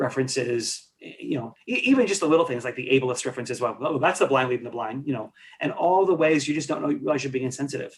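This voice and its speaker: The speaker is a man with a fairly high pitch. His voice is somewhat breathy. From New York. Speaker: leadership consultant. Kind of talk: podcast interview. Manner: fast; halting, many false starts.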